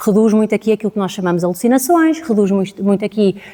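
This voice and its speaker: A woman with a European Portuguese accent talks very fast at a fairly high pitch, with ordinary pitch variation. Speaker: data scientist, conference speaker. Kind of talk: conference talk.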